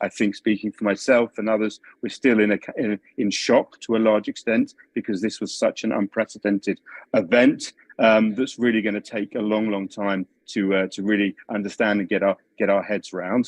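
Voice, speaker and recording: A man with a London accent, a fairly low pitch and monotone, flat intonation, at a moderate pace, in a dry, close sound with no echo. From London, England. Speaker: policy analyst. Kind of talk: video call briefing. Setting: video call. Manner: halting.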